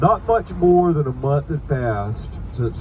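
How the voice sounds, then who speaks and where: A man with an American accent, fairly high in pitch, with ordinary pitch variation and noticeable background noise. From Savannah, Georgia. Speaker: ghost tour guide. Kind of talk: ghost story told on a guided hearse tour. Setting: moving vehicle, outdoors city tour.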